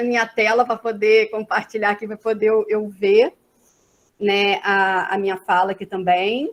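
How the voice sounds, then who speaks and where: This woman's voice sits fairly high in pitch. She talks at a fairly slow pace with fairly even intonation. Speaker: social work professor. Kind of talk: academic lecture. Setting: video call.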